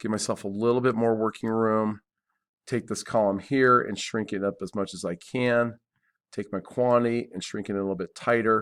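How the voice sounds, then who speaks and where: A man talks in a monotone, with flat intonation. The recording is very clean, with a silent background. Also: medium pitch for a man, moderate pace. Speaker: CAD instructor. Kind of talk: tutorial.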